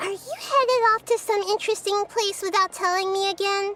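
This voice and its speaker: A put-on, squeaky, female-sounding character voice, extremely high in pitch and gentle in tone, at a fairly quick pace over clear background music. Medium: video game. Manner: gentle, thoughtful.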